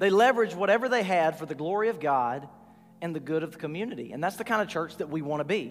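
A man with a Southern US accent talks with lively intonation over noticeable background noise. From US South, north Georgia. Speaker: pastor. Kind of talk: sermon.

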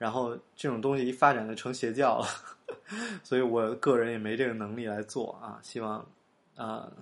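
Using monotone, flat intonation, a man with a medium pitch talks at a moderate pace. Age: young. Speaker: podcast host. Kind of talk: casual monologue. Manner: halting, many fillers.

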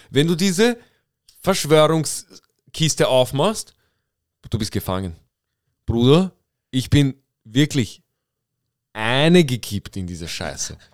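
Over a dry, close sound with no echo, a man with a fairly high pitch speaks at a very slow pace, his pitch swinging very widely between long, frequent pauses. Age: 20s. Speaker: podcast host. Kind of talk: casual chat.

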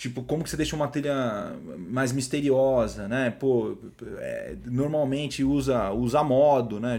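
Speaking with a São Paulo accent, a man uses a medium pitch and fairly even intonation at a moderate pace. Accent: Paulistano Brazilian Portuguese. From São Paulo, Brazil (Zona Norte). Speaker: music producer and composer. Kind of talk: casual interview chat. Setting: studio. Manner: hesitant with frequent repetitions.

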